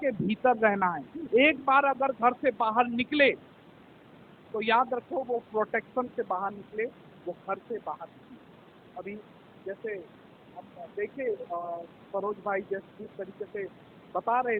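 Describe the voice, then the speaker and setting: The loudness of a man's voice swings widely while his pitch varies in an ordinary way. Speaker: pastor. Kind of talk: church sermon.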